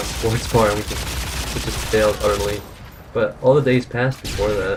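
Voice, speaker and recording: Mumbled words come at a moderate pace over noticeable background noise. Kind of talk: casual gameplay commentary. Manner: mumbling.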